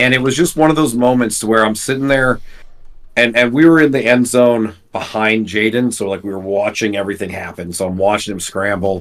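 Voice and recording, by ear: A man speaks at a fairly quick pace with a fairly low pitch. His pitch variation is ordinary.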